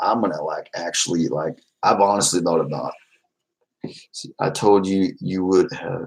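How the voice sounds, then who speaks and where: A quiet man with an American accent and a very deep, low pitch, at a moderate pace with big swings in loudness. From Texas, Fort Worth. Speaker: YouTuber. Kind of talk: casual livestream chat. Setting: livestream at home. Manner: loud, trying to quiet down.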